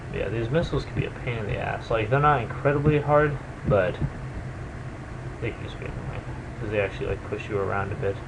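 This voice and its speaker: Over noticeable background noise, a man at medium pitch talks at a very fast pace with ordinary pitch variation and long, frequent pauses. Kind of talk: video game commentary. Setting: webcam microphone. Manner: quiet; casual, hesitant.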